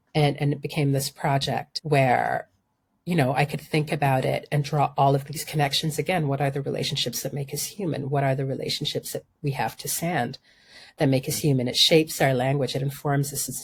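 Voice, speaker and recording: In a very clean recording with a silent background, a woman talks fairly quickly in a very deep, low pitch, with monotone, flat intonation and a somewhat breathy sound. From Sudan, childhood also in London and Denmark. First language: Arabic. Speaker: environmental journalist and urban planning scholar. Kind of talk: interview conversation.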